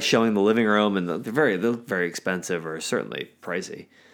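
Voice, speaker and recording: With an American accent, a man talks at a fairly quick pace in an unremarkable speaking voice of fairly low pitch, captured in a very clean recording against a silent background. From US Mid-Atlantic, north of Washington DC. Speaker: podcast co-host. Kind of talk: casual chat.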